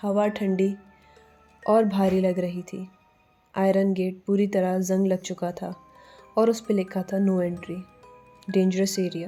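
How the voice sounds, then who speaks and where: With music in the background, a woman at medium pitch speaks in a dramatic tone yet with monotone, flat intonation. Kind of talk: horror story narration. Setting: studio voice-over with background music. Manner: suspenseful, dramatic.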